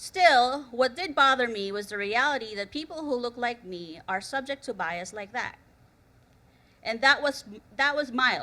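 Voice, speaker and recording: A woman with a non-native accent, high-pitched and bright, sharp in tone, at a fairly slow pace with lively intonation and big swings in loudness, on a very clean recording with a silent background. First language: not English. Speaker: conference speaker, researcher. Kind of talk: conference talk. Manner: storytelling, slightly halting.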